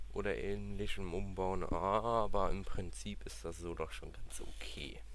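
A man talks at a very deep, low pitch with vocal fry. His pitch swings very wide. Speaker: gaming YouTuber. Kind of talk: let's play commentary. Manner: casual, thinking aloud.

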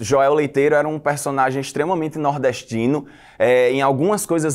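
Against a quiet background, a man with a fairly high pitch speaks with ordinary pitch variation. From Rio Grande do Norte, Brazil. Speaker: actor. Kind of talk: interview monologue. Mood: calm, reflective. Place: studio. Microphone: lapel.

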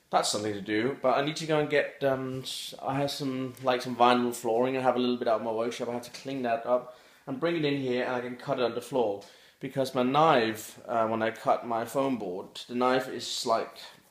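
Against a quiet background with audible room echo, a man talks at a fairly quick pace with fairly even intonation. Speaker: daily vlogger. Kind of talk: casual vlog chat. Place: home room. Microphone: phone near.

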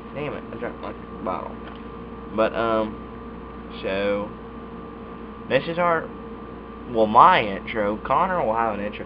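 Amid noticeable background noise, a man speaks at a very slow pace with long, frequent pauses. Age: young. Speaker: YouTuber reviewing dip tobacco. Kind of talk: casual vlog monologue. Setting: recording alone at webcam. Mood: relaxed, laid-back. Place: home room. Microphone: webcam.

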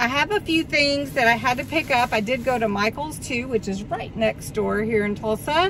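This woman's high voice moves at a moderate pace with hardly any pauses and ordinary pitch variation. The sound is dry with no echo, though background noise is noticeable. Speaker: haul vlogger. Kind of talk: casual vlog chat. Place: car. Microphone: phone near.

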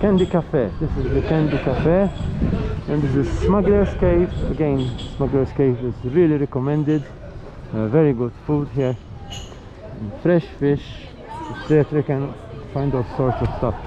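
Noticeable background noise around a man at a moderate pace, ordinary pitch variation, long, frequent pauses, and a dry sound with no echo. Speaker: travel vlogger. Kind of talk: casual vlog commentary. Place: street. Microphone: phone near.

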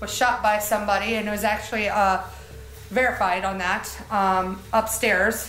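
A woman's fairly high voice at a moderate pace, with light background noise and audible room echo. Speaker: paranormal investigator. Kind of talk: casual chat. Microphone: camera far.

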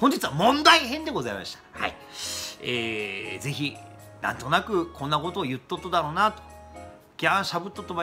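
Faint music plays behind a man with a Kumamoto accent who talks at a fairly quick pace with very wide pitch swings. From Kumamoto, Japan. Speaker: internet radio host. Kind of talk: casual talk to camera. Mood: mock angry, complaining. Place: office. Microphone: webcam.

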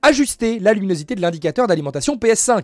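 The pace is fairly quick, with very wide pitch swings. The background is quiet. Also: man, dry sound with no echo. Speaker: gaming news youtuber. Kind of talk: solo news presentation. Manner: informal, hesitant with filler words and repetitions. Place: home room. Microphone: studio mic.

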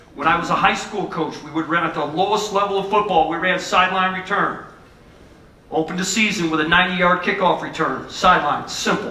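Audible room echo surrounds a man whose high-pitched voice moves at a fairly quick pace with fairly even intonation. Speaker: football coach presenter. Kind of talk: lecture. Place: hall.

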